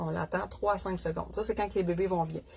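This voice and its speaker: This woman speaks with a Quebec accent. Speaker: dog breeder. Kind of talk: casual livestream chat. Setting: live stream from puppy nursery. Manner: casual, chatty with fillers.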